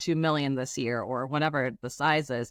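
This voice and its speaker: This woman's voice is very deep and low, with fairly even intonation at a fairly quick pace. The recording is very clean with a silent background, and the sound is dry and close with no echo. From Germany (Trier). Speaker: venture capital investor. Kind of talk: podcast interview.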